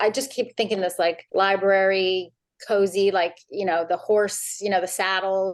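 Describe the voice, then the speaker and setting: A woman's voice at medium pitch. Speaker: reality TV contestant, homeschool mom. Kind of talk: interview. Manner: fast; animated.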